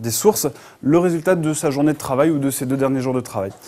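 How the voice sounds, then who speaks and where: Fairly quick male speech, pitch varying in an ordinary way. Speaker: conference speaker, software entrepreneur. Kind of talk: conference talk. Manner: fast; hesitant, many filler sounds.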